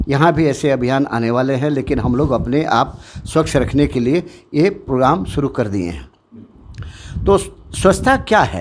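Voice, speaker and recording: A man's voice carries vocal fry and lively intonation. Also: fairly high pitch for a man. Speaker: retired army officer, school head. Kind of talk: interview statement.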